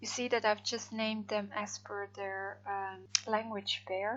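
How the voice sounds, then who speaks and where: Speaking very slowly in a Dutch accent, a woman keeps a medium pitch with monotone, flat intonation. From Netherlands. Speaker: freelance translator. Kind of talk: software tutorial. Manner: hesitant, many fillers.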